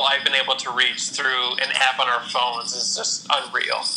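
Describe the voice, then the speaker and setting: A medium-pitched man with a Midwestern American accent at a moderate pace, over noticeable background noise. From Ohio, Toledo area. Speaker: Instagram photographer. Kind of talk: interview. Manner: halting, with many repeated words and fillers.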